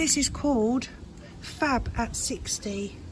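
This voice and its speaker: With audible room echo and noticeable background noise, a woman is heard speaking. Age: 60s. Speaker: gardening vlogger. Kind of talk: casual garden tour vlog. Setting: outdoors in her garden. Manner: chatty, relaxed.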